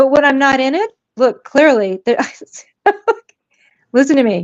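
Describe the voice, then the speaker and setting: A woman speaks loudly at a moderate pace, her high-pitched voice full of lively intonation. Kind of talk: heated debate.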